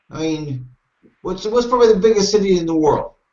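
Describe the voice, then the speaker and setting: A man with an American accent, high in pitch, with lively intonation. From Ohio, US. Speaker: English teacher. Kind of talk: casual chat.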